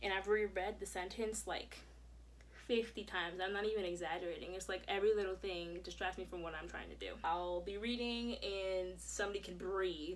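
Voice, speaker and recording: Through audible room echo, a woman speaks at a fairly quick pace. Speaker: vlogger. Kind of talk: personal vlog. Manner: fast; animated.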